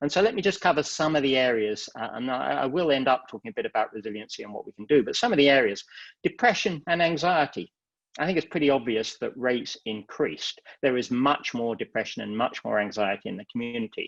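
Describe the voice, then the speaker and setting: With an English accent, a man speaks very fast at a medium pitch with big swings in loudness, the sound dry and close with no echo against a quiet background. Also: lively intonation. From England. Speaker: psychiatry professor. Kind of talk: lecture.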